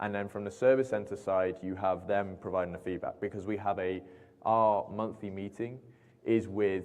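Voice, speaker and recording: A man with a British accent speaks at a moderate pace. His pitch is fairly low and his intonation fairly even. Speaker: aviation company representative. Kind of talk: Q&A at industry meeting.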